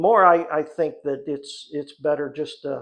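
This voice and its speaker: The pace is fairly slow. The background is quiet. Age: 60s. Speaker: hobbyist woodworker and channel host. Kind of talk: live stream monologue. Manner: halting, with frequent repetitions.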